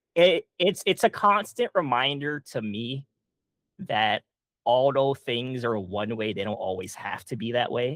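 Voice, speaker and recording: This man has a medium pitch and speaks at a fairly slow pace, his pitch swinging very widely. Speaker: comic creator. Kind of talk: casual chat. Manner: halting, many fillers.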